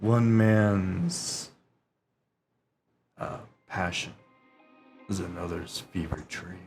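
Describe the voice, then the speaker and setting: In a put-on character voice, a man speaks at a very slow, fairly low pitch with long, frequent pauses over faint music in the background. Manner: deadpan, dry.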